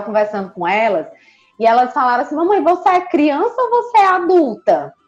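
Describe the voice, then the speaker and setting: A woman's pitch swings very widely as music plays in the background. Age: 30s. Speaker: psychologist. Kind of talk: casual chat.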